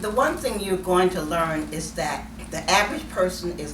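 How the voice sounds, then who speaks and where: Room echo is audible and background noise noticeable as a woman talks. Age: 70s. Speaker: author. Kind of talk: interview. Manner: emphatic.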